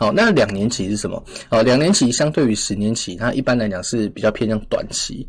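The man's speech comes very fast. There is ordinary variation in his pitch. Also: medium pitch for a man. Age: 20s. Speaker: finance podcast host. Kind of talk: casual finance commentary. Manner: many filler particles.

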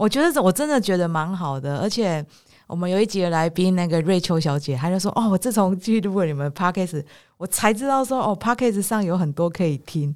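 A woman with an animated tone speaks at a fairly quick pace and medium pitch. The recording is very clean, with a silent background. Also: lively intonation. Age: 40s. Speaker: podcast host. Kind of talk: casual chat. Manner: animated, frequent laughter.

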